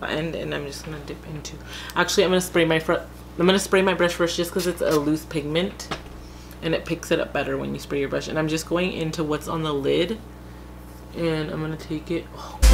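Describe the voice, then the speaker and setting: A quiet woman's voice at a fairly quick pace. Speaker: beauty youtuber. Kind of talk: tutorial. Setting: at home, late at night.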